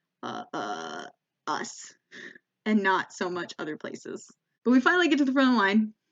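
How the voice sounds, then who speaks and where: Speaking at a moderate pace with an American accent, a woman uses very wide pitch swings and shows vocal fry. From United States. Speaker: comedian. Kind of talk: stand-up comedy storytelling to camera.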